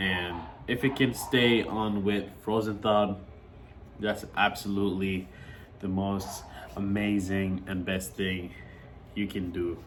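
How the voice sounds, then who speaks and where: A man at a very slow pace with long, frequent pauses and ordinary pitch variation, amid audible room echo. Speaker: reptile keeper and breeder. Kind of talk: casual vlog talk. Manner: casual with fillers.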